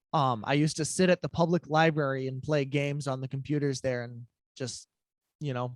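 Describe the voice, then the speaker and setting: A man with an American accent speaks in an unremarkable speaking voice at a medium pitch. His intonation is fairly even, in a very clean recording with a silent background. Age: 20s. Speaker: musician, interview guest. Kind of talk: interview, personal testimony.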